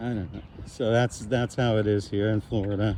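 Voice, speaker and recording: This man's voice sits fairly low in pitch. He speaks at a moderate pace with ordinary pitch variation. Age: 60s. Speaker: fitness vlogger. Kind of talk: casual vlog talk while walking. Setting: outdoors. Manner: hesitant, with fillers.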